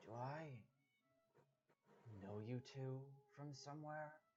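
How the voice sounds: A gruff, put-on character voice at a low-to-middle pitch moves along at a very slow pace.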